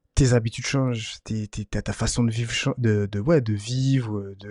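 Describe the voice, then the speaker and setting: Recorded dry and close with no echo, a man speaks at a moderate pace. His medium-pitched voice keeps a fairly even intonation. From Martinique. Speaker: podcast host. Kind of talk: casual chat. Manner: halting, many fillers.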